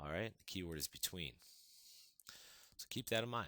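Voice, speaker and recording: A man's very deep, low voice with a bright, sharp tone and lively intonation at a very fast pace, on a very clean recording with a silent background. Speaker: math teacher. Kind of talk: tutorial. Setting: recorded video lesson.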